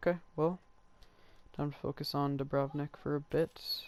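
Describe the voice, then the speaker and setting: This is a man speaking. His voice sits fairly high in pitch. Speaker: gaming youtuber. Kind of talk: gameplay commentary. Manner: casual, thinking aloud.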